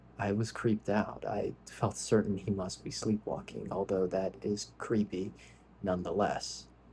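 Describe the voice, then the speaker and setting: A soft-spoken man talks at a fairly slow pace. His tone is dark and mellow, and somewhat breathy. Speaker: ASMR creator reading scary stories. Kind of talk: soft-spoken ASMR story reading.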